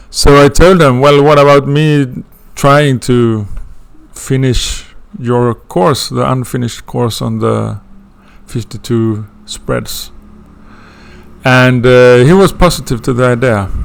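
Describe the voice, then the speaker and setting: At a very slow pace with long, frequent pauses, this speaker talks with a Swedish accent and ordinary pitch variation. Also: man, medium pitch for a man. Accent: non-native English, Swedish. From Sweden. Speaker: astrology student teaching a course. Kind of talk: lecture intro. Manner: halting, many fillers.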